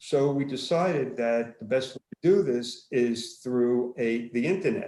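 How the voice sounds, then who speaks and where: With a Brooklyn accent, a man speaks at medium pitch and ordinary pitch variation. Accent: Brooklyn New York. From Brooklyn, New York. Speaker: former chiropractor and marketing business owner. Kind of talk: casual self-introduction on virtual networking call.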